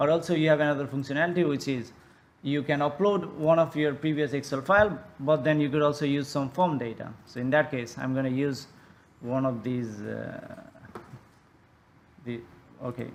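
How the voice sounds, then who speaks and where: A man speaks in a fairly high pitch, leaving long, frequent pauses. Audible room echo surrounds his voice. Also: ordinary pitch variation. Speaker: tool developer presenting a demo. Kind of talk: conference software demo. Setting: conference presentation. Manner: fast; halting, many fillers and restarts.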